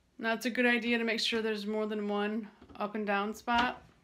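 The voice stays flat and monotone at a fairly quick pace. Light background noise sits behind it. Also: woman. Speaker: cat blogger. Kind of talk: casual tutorial vlog. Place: home room. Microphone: phone near.

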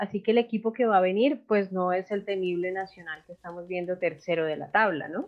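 A woman with an ordinary speaking voice talks at a fairly quick pace with hardly any pauses, using a medium pitch and ordinary pitch variation. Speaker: sports podcast host. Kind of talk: sports panel discussion.

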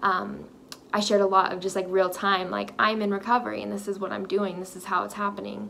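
With an American accent, a woman talks at a very fast pace, her loudness swinging widely over light background noise. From Texas. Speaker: lifestyle vlogger; vlogger. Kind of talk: personal vlog monologue. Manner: casual, filler-heavy. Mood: warm, reflective, encouraging. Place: home room. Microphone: phone near.

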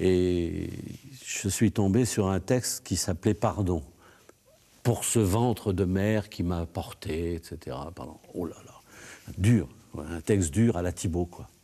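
With a very deep, low pitch and a dark, mellow tone, a man speaks at a very slow pace, using ordinary pitch variation, big swings in loudness, and long, frequent pauses. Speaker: songwriter and record producer. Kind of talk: interview testimony; interview answer. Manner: halting, many hesitations. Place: studio. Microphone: lapel.

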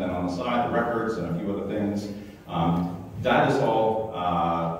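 A man's voice with ordinary pitch variation amid strong room echo and light background noise. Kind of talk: announcements to congregation. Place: church. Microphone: camera far.

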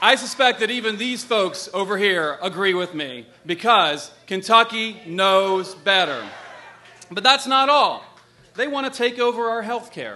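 A raised, projected voice with a bright, sharp tone and lively intonation at a moderate pace. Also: man. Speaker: candidate. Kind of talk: political stump speech. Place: stage. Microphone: podium.

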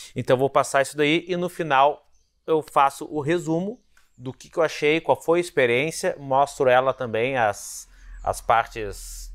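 A man's fairly slow delivery, with ordinary pitch variation, comes over a quiet background. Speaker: motorcycle reviewer. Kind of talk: review intro talk to camera. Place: garage. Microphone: lapel.

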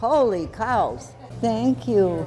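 Clear music plays behind a woman whose voice is fairly high. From Italy-born, raised in the U.S. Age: 90s. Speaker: retired traveler, community theater volunteer. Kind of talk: casual interview answer.

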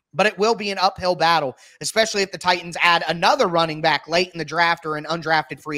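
A man with an American accent talks at a fairly quick pace with fairly even intonation. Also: quiet background. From Ohio. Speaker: football podcast host. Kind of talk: casual interview. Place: home room. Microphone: video call.

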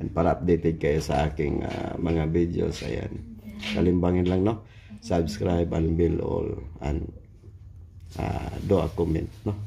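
A man speaks at a fairly slow pace in a very deep, low voice over light background noise. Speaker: travel vlogger. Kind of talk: casual vlog chat. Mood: cheerful, joking. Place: station. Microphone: phone near.

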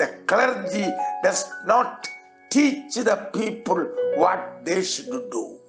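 Over clear background music, a man speaks at a very slow pace. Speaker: pastor, preacher. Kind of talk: sermon, preaching. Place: church. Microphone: podium.

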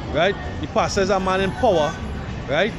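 A man's voice, dry with no echo, over clear background music. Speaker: street preacher. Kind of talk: street sermon. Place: street.

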